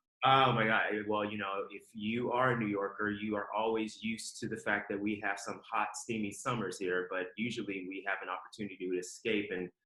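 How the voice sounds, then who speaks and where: A man with a fairly low voice speaks at a fairly quick pace in an American accent, his intonation fairly even. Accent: slight Southern accent at times. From Ohio, US Midwest, Southern family. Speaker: fashion executive. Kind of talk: podcast interview. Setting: remote call.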